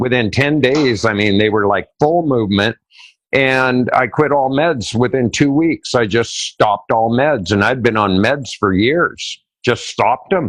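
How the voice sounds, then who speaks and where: Fairly slow speech with ordinary pitch variation and very even loudness over a quiet background. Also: man, medium pitch for a man. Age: 60s. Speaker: urine therapy advocate. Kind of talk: interview. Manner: casual, with hesitations.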